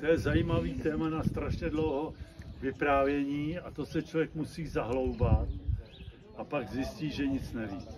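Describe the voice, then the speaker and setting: Against noticeable background noise, a man talks at a fairly slow pace and fairly high pitch, with ordinary pitch variation. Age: 70s. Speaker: church member. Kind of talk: casual interview.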